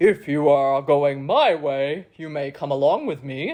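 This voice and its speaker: A put-on character voice, low-to-middle in pitch, at a fairly slow pace. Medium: read story. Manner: hearty, leisurely, condescending.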